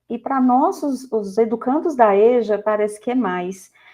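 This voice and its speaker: A woman's voice, fairly high in pitch, moderately paced and lively in intonation. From Goiás, Brazil. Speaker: math teacher. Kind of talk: podcast interview. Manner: halting with false starts.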